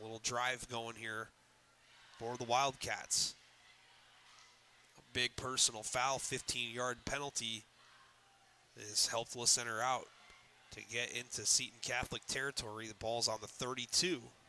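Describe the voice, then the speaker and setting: A loud man speaks in a bright, sharp tone with a monotone, flat intonation and long, frequent pauses. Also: moderate pace. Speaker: sports play-by-play announcer. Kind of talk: live commentary. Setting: media room at a high school stadium. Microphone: echo from enclosed room.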